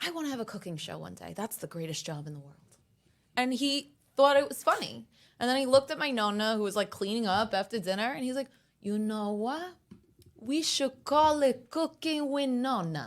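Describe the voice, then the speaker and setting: With an American accent, the speaker moves at a moderate pace through very wide pitch swings and big swings in loudness. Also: woman, fairly high pitch for a woman. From Brooklyn, New York. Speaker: social media influencer. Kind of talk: casual chat. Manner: animated.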